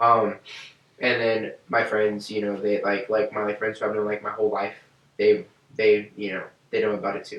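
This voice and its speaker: A man with an American accent, monotone and flat, at a moderate pace broken by long, frequent pauses, amid noticeable background noise. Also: fairly low pitch for a man. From Texas, San Antonio. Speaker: rapper. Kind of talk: podcast interview.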